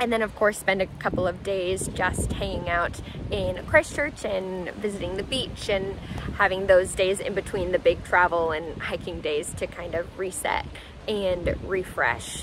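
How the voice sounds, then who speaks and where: The speaker moves at a fairly slow pace with ordinary pitch variation. The sound is dry with no echo, though background noise is noticeable. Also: woman. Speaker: travel vlogger. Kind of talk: casual vlog chat. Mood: cheerful, excited. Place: open country. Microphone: phone near.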